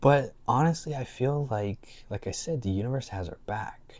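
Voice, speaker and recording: In a very clean recording with a silent background, a man with a dark, mellow tone and a somewhat breathy voice speaks at a moderate pace with ordinary pitch variation. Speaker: spiritual life coach video creator. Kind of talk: casual talk to camera.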